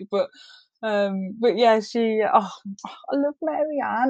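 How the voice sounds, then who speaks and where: A woman in an English accent, with lively intonation. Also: dry, close sound with no echo. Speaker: book club reviewer. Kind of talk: casual chat.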